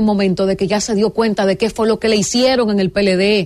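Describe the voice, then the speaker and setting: Her speed is moderate. This woman's voice sits fairly high in pitch. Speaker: radio host. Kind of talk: talk radio panel. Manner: energetic.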